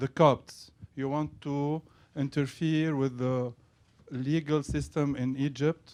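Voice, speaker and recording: A man with a non-native accent at a very slow pace, fairly high in pitch, with monotone, flat intonation and a dry, close sound with no echo. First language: not English. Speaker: journalist. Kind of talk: press conference question.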